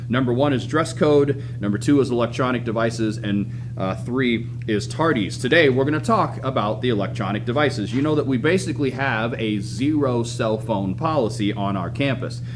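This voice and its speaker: A man is speaking with music in the background. The room echo is audible. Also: medium pitch for a man, ordinary pitch variation, hardly any pauses. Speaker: high school administrator. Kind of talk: school announcements. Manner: fast.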